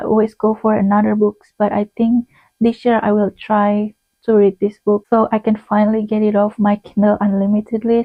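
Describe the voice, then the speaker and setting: With a non-native accent, a woman speaks at a fairly quick pace and a fairly high pitch, her intonation monotone and flat. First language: not English. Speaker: booktuber. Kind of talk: casual monologue video. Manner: conversational with fillers and self-corrections.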